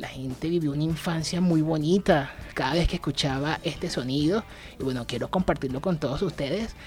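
With a Caracas accent and a somewhat breathy voice, a man talks at a fairly quick pace with ordinary pitch variation. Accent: Venezuelan, Caracas. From Venezuela, Caracas. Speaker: podcast host, radio presenter. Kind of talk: casual monologue. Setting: home studio.

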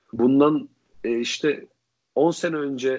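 A man talks against a quiet background. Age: 20s. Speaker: podcast co-host. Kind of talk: casual chat.

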